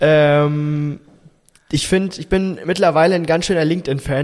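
Here a man talks at a moderate pace with fairly even intonation. He has an ordinary speaking voice at a fairly high pitch. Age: young. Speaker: podcast host. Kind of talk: casual chat.

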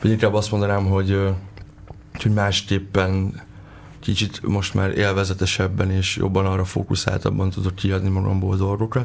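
Noticeable background noise sits behind a man with a fairly low pitch. His intonation is monotone and flat, and his loudness is very even. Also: moderate pace. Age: 20s. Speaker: rapper and lyricist. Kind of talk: radio interview.

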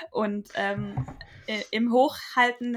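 A woman's medium-pitched voice with ordinary pitch variation, amid noticeable background noise. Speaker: podcast co-host. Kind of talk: casual chat. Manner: halting.

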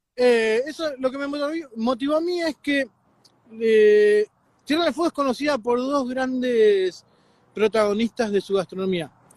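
A man with an extremely high pitch speaks at a moderate pace with ordinary pitch variation. The sound is dry and close, with no echo. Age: 40s. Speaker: chef. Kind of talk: interview. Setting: video call. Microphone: too quiet.

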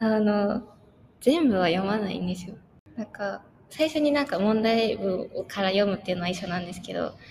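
Noticeable background noise under a woman's fairly high-pitched voice. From Japan. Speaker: university student. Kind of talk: casual interview.

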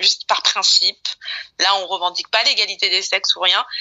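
A woman talks at a moderate pace. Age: 30s. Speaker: podcast guest. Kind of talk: casual chat.

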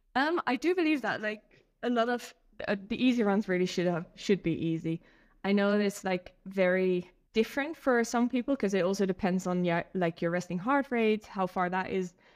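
A plain, everyday voice at a moderate pace. Pitch varies in an ordinary way against a quiet background. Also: woman, medium pitch for a woman. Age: 30s. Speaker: ultra runner and running coach. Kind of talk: casual interview chat.

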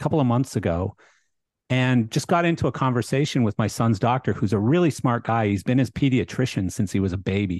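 A man with a plain, everyday voice, medium pitch and a Canadian accent, recorded dry and close with no echo against a quiet background. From Canada. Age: 50s. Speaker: podcast host. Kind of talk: casual chat.

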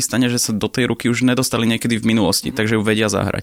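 A man's medium-pitched voice. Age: 20s. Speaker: professional poker player. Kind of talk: interview.

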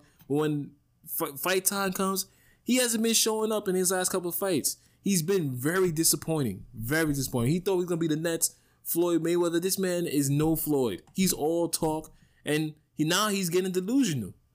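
In a New York accent, a man speaks at a high pitch with an animated tone and ordinary pitch variation. His pace is moderate, his loudness very even, and the recording very clean with a silent background. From New York City (Bronx). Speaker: sports podcast host. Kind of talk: solo sports talk monologue.

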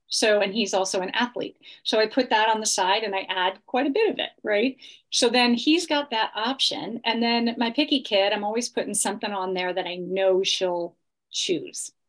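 A woman's plain, everyday voice at a fairly high pitch and moderate pace, with ordinary pitch variation and a quiet background. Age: 50s. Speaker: health coach. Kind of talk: interview.

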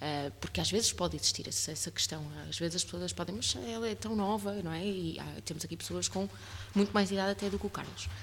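A woman speaks very fast in a very deep, low voice, her pitch swinging very widely. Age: 30s. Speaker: podcast host and voice workshop leader. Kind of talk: casual interview chat.

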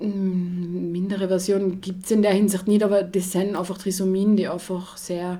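A woman's dark, mellow voice in a monotone, flat intonation at a fairly slow pace, with audible room echo. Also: medium pitch for a woman, hardly any pauses. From Austria, Tyrol (Achensee). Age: 20s. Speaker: social care worker and mother. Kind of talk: casual chat.

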